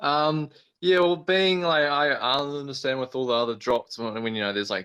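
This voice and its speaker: In a New Zealand accent, a man speaks with a bright, sharp tone and ordinary pitch variation over a quiet background. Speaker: astrophotographer. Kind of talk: casual chat. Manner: halting, frequent repetitions.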